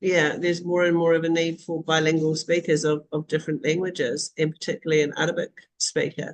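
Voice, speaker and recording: In a New Zealand accent, a woman with a fairly low pitch speaks at a very fast pace with monotone, flat intonation. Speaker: online community host for school leaders. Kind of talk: live video call discussion. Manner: casual, frequent fillers.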